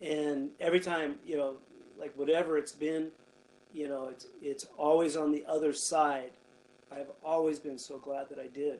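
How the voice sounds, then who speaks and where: In a western US accent, a man speaks with flat, monotone intonation and big swings in loudness. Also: moderate pace. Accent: western American. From Nevada, Carson Valley (Gardnerville). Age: 50s. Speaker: pastor. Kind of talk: casual interview, personal testimony.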